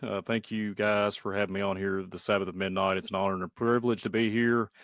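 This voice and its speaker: Here is a man with a Southern US accent. He talks at a fairly quick pace. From Kentucky. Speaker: YouTube channel host, podcast guest. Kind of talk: casual chat.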